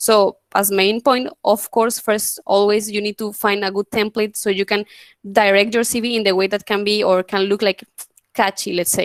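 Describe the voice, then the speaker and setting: Recorded with a dry, close sound with no echo, a woman speaks at a medium pitch with fairly even intonation. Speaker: student workshop presenter. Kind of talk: online workshop presentation. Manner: fast.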